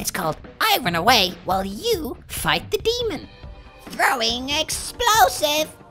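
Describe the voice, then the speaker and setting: Over clear background music, a man does a put-on character voice at an extremely high pitch and a fairly slow pace. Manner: panicky, whiny.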